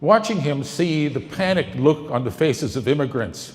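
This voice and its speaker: Using vocal fry and very wide pitch swings, a man with an American accent talks at a fairly slow pace. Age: 70s. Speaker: former TV news correspondent and campaign volunteer. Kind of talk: speech introducing a film.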